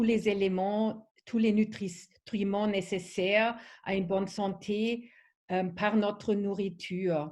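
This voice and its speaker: A woman speaks with a non-native accent in a dark, mellow, somewhat breathy tone. Her intonation is monotone and flat. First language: not French (speaking French). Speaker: wellness product trainer. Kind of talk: online training presentation. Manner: halting, many fillers.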